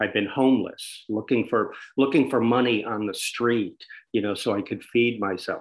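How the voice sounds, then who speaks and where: In an American accent, a man speaks at a moderate pace and medium pitch. His intonation is fairly even, and the recording is very clean with a silent background. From USA. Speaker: adventurer and author. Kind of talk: interview. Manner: halting.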